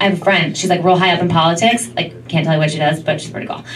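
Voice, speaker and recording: Light noise sits in the background as a woman talks. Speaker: stand-up comedian. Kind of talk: stand-up comedy. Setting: stage with audience. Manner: animated, sassy, mimicking dramatic girl voices. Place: stage.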